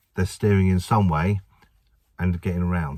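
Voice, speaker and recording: A very deep, low-pitched man with an English accent, on a very clean recording with a silent background. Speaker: driving instructor trainer. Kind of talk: tutorial. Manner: fast; casual.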